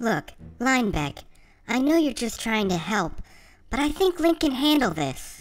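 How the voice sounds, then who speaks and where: A cartoonish character voice, female-sounding and high-pitched, moves at a moderate pace with very wide pitch swings and long, frequent pauses, on a very clean recording with a silent background. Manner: dry, sarcastic.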